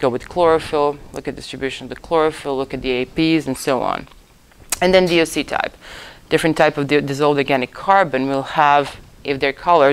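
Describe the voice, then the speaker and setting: A woman with a very deep, low voice speaks at a fairly quick pace, her intonation fairly even. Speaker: lecturer in ocean optics. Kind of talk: lecture. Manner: fast.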